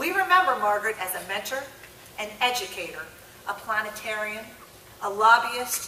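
A woman at a moderate pace, with audible room echo and light background noise. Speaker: conference presenter. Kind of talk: formal introduction speech. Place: hall. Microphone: podium.

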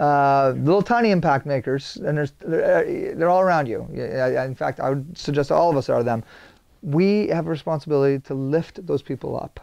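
A man speaks at a moderate pace with a quiet background behind him. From Saint John, New Brunswick, Canada; New Brunswick, Canada. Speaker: video producer; guest. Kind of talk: interview conversation. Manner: high energy. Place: studio. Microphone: lapel.

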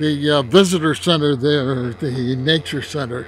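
A man talks at a fairly slow pace in a dry sound with no echo, with faint music in the background. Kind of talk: casual vlog commentary. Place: open country. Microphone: phone near.

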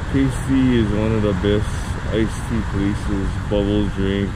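There is loud background noise behind a man talking at a fairly slow pace. The sound is dry with no echo. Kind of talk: casual vlog chat. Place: street. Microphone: phone near.

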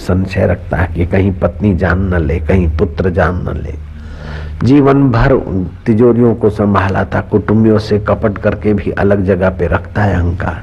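Very deep and low, a man's voice moves at a fairly slow pace with ordinary pitch variation. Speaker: spiritual preacher. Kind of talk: sermon. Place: tent. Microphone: studio mic.

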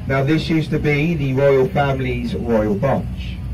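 Moderate-paced speech in a North London accent, with noticeable background noise. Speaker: river cruise guide. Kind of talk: live tour commentary. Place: boat.

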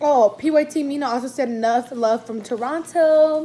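A woman's high-pitched, animated voice at a fairly slow pace, with ordinary pitch variation and light background noise. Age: 20s. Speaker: YouTuber; vlogger. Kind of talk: mukbang Q&A vlog; casual vlog chat. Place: home room. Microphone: phone near.

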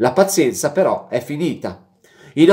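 A man speaks against a quiet background. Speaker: football vlogger and Inter fan. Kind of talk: angry rant about football criticism, reading a fan letter aloud then venting. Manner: angry, heated, profane. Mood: indignant, critical. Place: home room. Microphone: webcam.

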